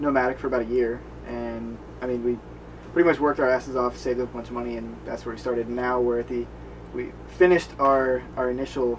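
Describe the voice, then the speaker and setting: Noticeable background noise is heard. Over it, a man talks at a very fast pace. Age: 20s. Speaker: travel blogger. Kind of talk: casual interview.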